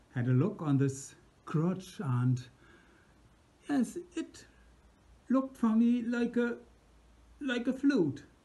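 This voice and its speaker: A man with a German accent speaks at a very slow pace, his pitch high and swinging very widely. His tone is dark and mellow, broken by long, frequent pauses. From Germany. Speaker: musician. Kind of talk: personal anecdote. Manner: halting.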